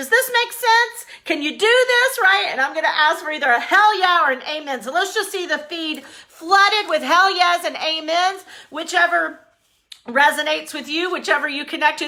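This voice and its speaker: A woman projects a raised, extremely high-pitched voice, bright and sharp in tone. She sounds energetic, with lively intonation at a moderate pace. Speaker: business coach. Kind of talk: live-streamed motivational business talk. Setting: Facebook Live stream. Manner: loud.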